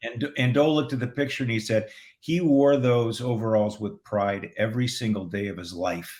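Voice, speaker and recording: This man has an ordinary speaking voice, with medium pitch, ordinary pitch variation and a moderate pace. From San Diego, California. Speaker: film director. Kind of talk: casual interview chat.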